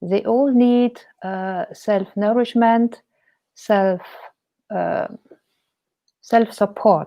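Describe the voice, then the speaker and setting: A woman with a German accent, fairly high pitch, ordinary pitch variation, a very slow pace and long, frequent pauses. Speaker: painter and life coach. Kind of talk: interview. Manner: hesitant.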